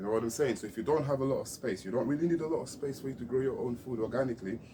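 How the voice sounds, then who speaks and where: Very fast speech from a man, dark and mellow in tone, medium in pitch, somewhat breathy. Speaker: gardening vlogger. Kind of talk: casual gardening tutorial. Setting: outdoors at allotment. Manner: casual, chatty.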